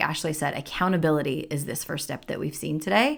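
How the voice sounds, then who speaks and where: A woman's voice with vocal fry, on a very clean recording with a silent background. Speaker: podcast host. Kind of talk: casual chat.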